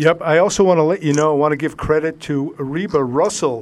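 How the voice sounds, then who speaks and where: A man with a normal speaking voice, fairly high-pitched, at a fairly quick pace. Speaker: radio host. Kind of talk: radio show hosting. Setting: studio.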